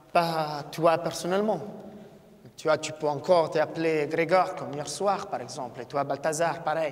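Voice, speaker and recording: With a non-native accent, a man talks at a fairly slow pace and fairly even intonation over noticeable background noise. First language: not French (speaking French). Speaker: event moderator. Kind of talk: live talk to audience. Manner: halting.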